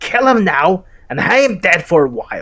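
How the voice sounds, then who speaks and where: In a put-on character voice, a man speaks with a high, raspy, hissing sound. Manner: hissing, sinister.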